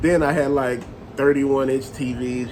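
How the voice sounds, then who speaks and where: Medium pitch from a man, with noticeable background noise and audible echo from the room. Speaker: toy collector and vlogger. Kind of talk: casual monologue. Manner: loud; rambling, conversational.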